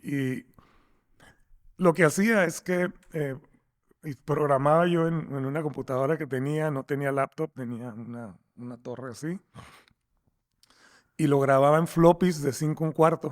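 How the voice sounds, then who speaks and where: The speech is fairly slow, with long, frequent pauses, big swings in loudness and ordinary pitch variation. The recording is very clean with a silent background, dry and close with no echo. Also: man, fairly high pitch for a man. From Mexico, Tijuana. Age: 60s. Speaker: software company founder. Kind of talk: interview. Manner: halting, many repeated words.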